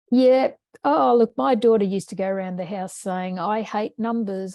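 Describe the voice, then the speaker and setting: Against a quiet background, a woman with an Australian accent speaks at a moderate pace in a medium-pitched, dark, mellow voice with ordinary pitch variation and a dry, close sound with no echo. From Australia, Brisbane. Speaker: education researcher and former maths teacher. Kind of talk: webinar presentation Q&A. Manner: casual, conversational.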